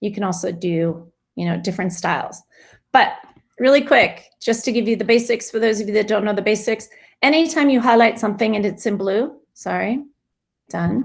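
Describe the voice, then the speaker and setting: Speaking at a moderate pace with vocal fry, a woman uses a fairly high pitch and ordinary pitch variation on a very clean recording with a silent background. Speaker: teacher giving a staff tech workshop. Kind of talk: tutorial.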